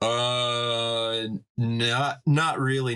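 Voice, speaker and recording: His tone bright and sharp, a man speaks with an American accent. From United States. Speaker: gang fight member, digital artist. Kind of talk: casual chat. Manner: halting.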